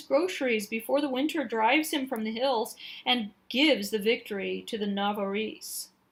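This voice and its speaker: A woman puts on a character voice and speaks at a moderate pace. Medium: read story.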